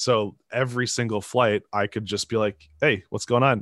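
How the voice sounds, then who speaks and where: A man with an American accent speaks in a plain, everyday voice at a medium pitch and moderate pace. His intonation is fairly even, and the background is quiet. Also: dry, close sound with no echo. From Minnesota (Twin Cities suburbs). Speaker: professional drone racer. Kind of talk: casual interview.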